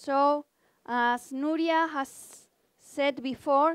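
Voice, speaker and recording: In a Spanish accent, a woman speaks at a high pitch with ordinary pitch variation, the sound dry and close with no echo on a very clean recording with a silent background. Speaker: research institute department head. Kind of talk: conference presentation. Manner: halting.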